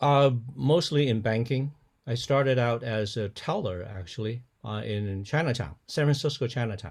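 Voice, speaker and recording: This man has a Cantonese accent and lively intonation. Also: medium pitch for a man, moderate pace. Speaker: pastor. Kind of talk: interview. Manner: halting, frequent repetitions.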